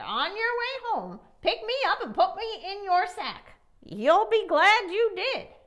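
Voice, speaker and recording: Extremely high and fairly unhurried, a put-on character voice from a woman. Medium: read story. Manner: insistent, knowing.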